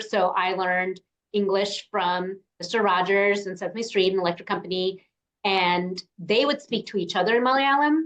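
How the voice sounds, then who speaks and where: A woman with an American accent speaks at a moderate pace in a plain, everyday voice. Her pitch sits at a medium level and varies in an ordinary way. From New York, US. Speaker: podcast host. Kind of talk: interview conversation.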